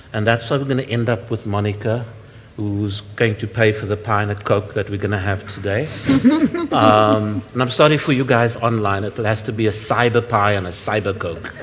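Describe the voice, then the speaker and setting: Noticeable background noise sits behind a man speaking at a moderate pace. His pitch is fairly low and his intonation fairly even. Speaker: workshop moderator. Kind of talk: panel moderation. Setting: workshop with live and online audience. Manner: loud.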